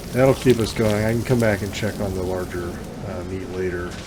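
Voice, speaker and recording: A man's fairly low voice with audible room echo and noticeable background noise. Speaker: gaming YouTuber. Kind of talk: let's play commentary. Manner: halting, many fillers.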